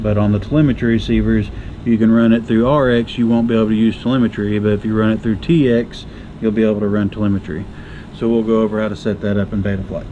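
Over light background noise, a man talks at a very fast pace with a fairly low pitch. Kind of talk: tutorial. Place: workshop.

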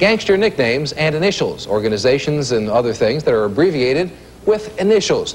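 Upbeat in tone, a man with a fairly high pitch speaks at a very fast pace with very wide pitch swings over noticeable background noise. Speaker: game show host. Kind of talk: TV game show hosting, rapid-fire quiz questions and score calls. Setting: stage with studio audience in a casino. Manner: brisk, upbeat quizmaster pacing, snapping out questions and verdicts; chummy and encouraging with contestants, light banter.

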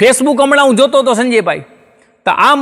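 A man is speaking. The background is quiet. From Gujarat, India. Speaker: stand-up comedian and writer; stand-up comedian. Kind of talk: comic storytelling monologue. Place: studio. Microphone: lapel.

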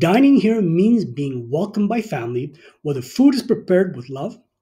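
A man with a high pitch and a dark, mellow tone speaks at a moderate pace, swinging very widely in pitch. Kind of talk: scripted presentation to camera. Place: home room. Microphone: phone near.

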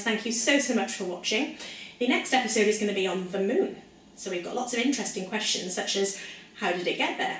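Someone with a Welsh accent talks at a very fast pace in an upbeat tone with ordinary pitch variation, with audible room echo and light background noise. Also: woman. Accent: soft Welsh. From South Wales. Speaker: science presenter for children. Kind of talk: educational lesson for children. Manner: upbeat, friendly. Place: kitchen. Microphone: camera far.

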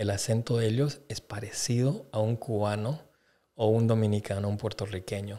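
With a dark, mellow tone, a man speaks at a moderate pace. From Bolivia. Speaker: podcast guest. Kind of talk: casual chat; casual podcast conversation. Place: studio. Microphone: studio mic.

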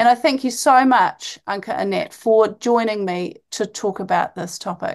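A woman with a New Zealand accent, fairly high-pitched, with lively intonation, a moderate pace and hardly any pauses, over a quiet background. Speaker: podcast host, medical doctor. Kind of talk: interview.

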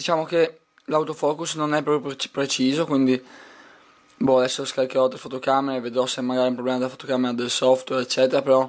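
Flat, monotone delivery from a man, moving along fairly quickly. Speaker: tech reviewer. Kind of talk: product review video. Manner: hesitant, repeats words.

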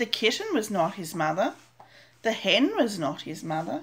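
In a gentle, sing-song tone, a woman speaks at a fairly slow pace and fairly high pitch, her voice swinging very widely in pitch. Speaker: grandmother reading storybook aloud. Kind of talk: bedtime story reading aloud to a child, picture-book narration. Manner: slow, gentle, sing-song storytelling pace with repetition and small pauses; animated character voices, questioning tone for 'Are you my mother?'. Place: home room. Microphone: webcam.

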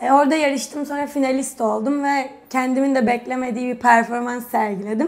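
A woman with a high-pitched voice and normal pitch movement speaks fairly quickly. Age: 20s. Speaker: retired national gymnast; guest. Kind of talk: casual interview chat. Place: studio. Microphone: lapel.

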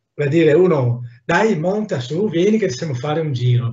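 A man's lively intonation carries a somewhat breathy sound. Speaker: artist, mask maker. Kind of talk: casual chat. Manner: animated.

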